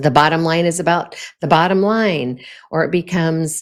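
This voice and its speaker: A woman talks at a moderate pace with a fairly low pitch. Hers is an unremarkable speaking voice. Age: 60s. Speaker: podcast host. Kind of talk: solo podcast talk on leadership. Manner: conversational, with frequent fillers.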